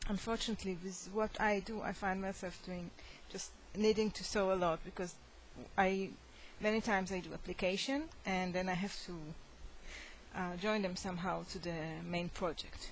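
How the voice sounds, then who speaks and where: A woman at medium pitch with a non-native accent, fairly even intonation, a moderate pace and long, frequent pauses. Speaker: crochet hobbyist. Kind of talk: casual show-and-tell tutorial. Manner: halting, many fillers.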